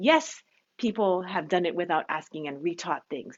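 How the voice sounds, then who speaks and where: The speaker has an animated tone and very wide pitch swings, with a Hawaiian accent. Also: woman. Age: 50s. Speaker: bead shop owner. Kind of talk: live stream chat. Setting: home live stream.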